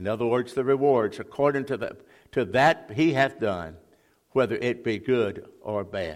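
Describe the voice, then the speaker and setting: Speaking at a medium pitch, a man talks with a Mississippi accent. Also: ordinary pitch variation, moderate pace. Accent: Mississippi Southern US. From US South, Mississippi (Jackson). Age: 80s+. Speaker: retired Baptist pastor, guest preacher. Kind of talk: sermon. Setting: church. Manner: halting.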